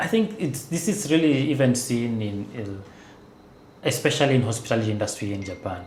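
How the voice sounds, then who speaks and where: With audible room echo around him, a man speaks at a medium pitch and a moderate pace. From Kenya. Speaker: renewable energy engineer. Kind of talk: podcast interview. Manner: conversational, many fillers.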